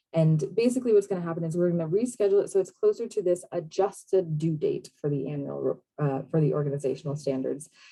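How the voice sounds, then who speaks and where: Rushing at a very fast pace with hardly any pauses, a woman with a fairly low pitch speaks in a dark, mellow, somewhat breathy tone with lively intonation. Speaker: state program manager presenting on a call. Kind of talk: online meeting presentation. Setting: video call.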